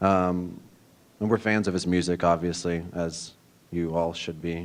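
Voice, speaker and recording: Speaking at a fairly slow pace with an American accent, a man with a very deep, low pitch talks in a monotone, flat intonation. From Kansas City, US Midwest. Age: 20s. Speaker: coding bootcamp student. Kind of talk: project presentation. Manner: casual, hesitant with fillers.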